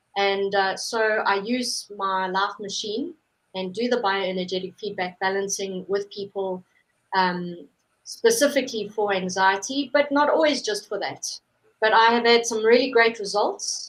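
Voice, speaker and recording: In a South African accent, a woman speaks fairly slowly at a medium pitch, with ordinary pitch variation. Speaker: holistic therapist. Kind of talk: interview.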